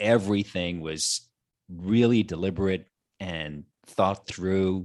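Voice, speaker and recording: A man speaks with a very deep, low pitch at a very slow pace. The recording is very clean, with a silent background. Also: fairly even intonation. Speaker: podcast guest. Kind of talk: casual chat.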